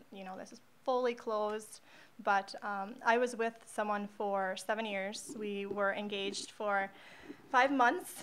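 In an unremarkable speaking voice, a woman talks at a fairly high pitch with fairly even intonation and big swings in loudness. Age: 20s. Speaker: social media marketer. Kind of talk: casual chat.

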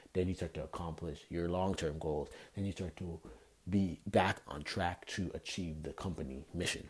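A man with a very deep, low pitch and a somewhat breathy voice speaks at a moderate pace with fairly even intonation. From Canada. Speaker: podcast host. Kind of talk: solo podcast talk.

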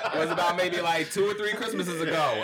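Over noticeable background noise, a man is speaking. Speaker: podcast panelist. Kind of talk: casual chat.

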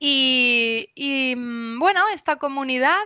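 Against a quiet background, a woman with a Spanish accent speaks at a very slow pace. Her voice is high-pitched with a bright, sharp tone. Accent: Peninsular Spanish. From Spain. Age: 30s. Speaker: spiritual coach. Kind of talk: casual interview. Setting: remote recording.

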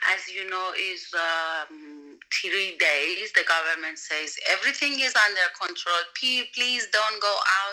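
With a Persian accent, this bright, sharp voice moves at a fairly slow pace with ordinary pitch variation. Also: woman. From Iran. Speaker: voiceover and dubbing artist. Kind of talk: casual interview. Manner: halting.

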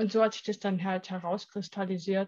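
Somewhat breathy, a woman talks over a quiet background. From East Germany. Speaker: image and etiquette consultant. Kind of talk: interview. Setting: studio.

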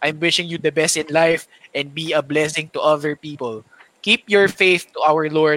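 A man with a Filipino accent speaks at a moderate pace in a bright, sharp tone. The sound is dry and close, with no echo. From Philippines. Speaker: podcast host. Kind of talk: casual chat.

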